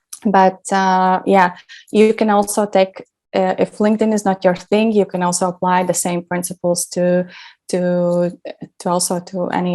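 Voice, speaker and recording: A woman with a non-native accent speaks at a moderate pace in a dark, mellow tone. Her medium pitch stays monotone, with flat intonation. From Latvia. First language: not English. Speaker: branding specialist. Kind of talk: workshop presentation. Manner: hesitant, many fillers.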